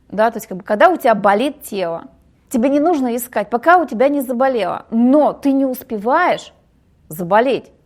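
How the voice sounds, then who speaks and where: A woman talks at a moderate pace in a high pitch with lively intonation. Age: 40s. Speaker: women's psychology speaker. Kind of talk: podcast interview. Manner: halting.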